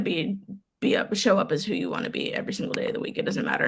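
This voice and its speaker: A woman with an American accent. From Florida. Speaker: equity and belonging program manager. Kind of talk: casual chat. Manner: fast.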